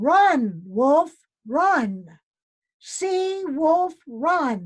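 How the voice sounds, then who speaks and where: This put-on character voice swings very widely in pitch. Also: woman, high pitch for a woman. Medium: read story.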